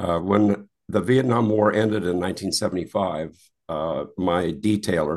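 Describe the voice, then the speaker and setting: A man with a very deep, low pitch and ordinary pitch variation speaks with an American accent. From Wisconsin, US Midwest. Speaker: retired golf handicapping administrator and navy veteran. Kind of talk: interview.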